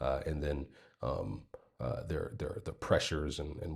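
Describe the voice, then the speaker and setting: The speaker is a man with an American accent. He talks at a moderate pace. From United States. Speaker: vlogger. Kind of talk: casual storytelling. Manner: hesitant, many fillers.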